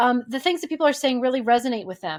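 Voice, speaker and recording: The speaker is a woman. Her recording is very clean, and the background is silent. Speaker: brand strategist. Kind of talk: tutorial. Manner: fast.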